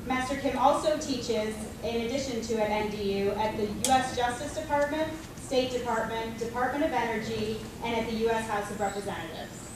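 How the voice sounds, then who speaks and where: A woman speaks at a fairly quick pace with ordinary pitch variation. Strong room echo and noticeable background noise fill the recording. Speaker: ceremony emcee. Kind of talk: formal introductions at ceremony. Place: hall. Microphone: camera far.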